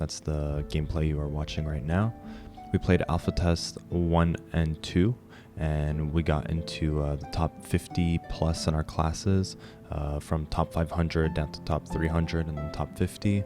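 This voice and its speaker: With music in the background, a man speaks in a very deep, low voice. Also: ordinary pitch variation. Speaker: gamer, streamer. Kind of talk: game guide narration.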